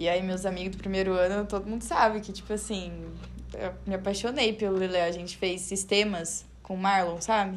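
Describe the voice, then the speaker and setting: A woman speaks at a moderate pace with a medium pitch and a monotone, flat intonation. There is audible echo in the room. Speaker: architecture student podcast host. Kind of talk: casual interview.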